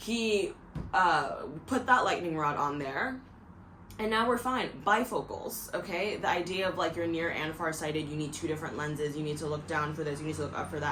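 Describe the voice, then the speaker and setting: At a very fast pace, the speech carries lively intonation and an animated tone, with audible room echo and noticeable background noise. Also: woman. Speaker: video podcaster. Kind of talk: casual monologue.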